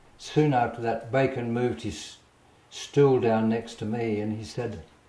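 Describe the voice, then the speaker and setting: In an Australian accent, a man with a medium pitch speaks, with audible room echo around him. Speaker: painter. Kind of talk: casual storytelling interview. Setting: artist's studio. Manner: halting, with repetitions.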